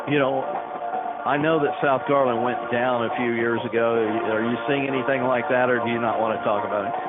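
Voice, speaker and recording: A man with a Texan accent at a moderate pace, very even loudness, audible room echo and music in the background. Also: medium pitch for a man, fairly even intonation. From Texas, Dallas area. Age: 60s. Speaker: radio sports announcer. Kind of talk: radio interview. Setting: radio broadcast at a football game.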